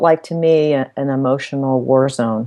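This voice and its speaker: A woman with an American accent speaks in a dark, mellow tone. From US, Washington DC suburbs. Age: 50s. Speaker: author and mental health advocate. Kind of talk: interview.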